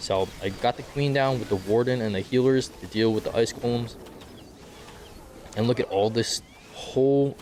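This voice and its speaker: There's noticeable background noise as a man at medium pitch speaks at a moderate pace. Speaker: gaming video creator. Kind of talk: tutorial. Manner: casual, filler words.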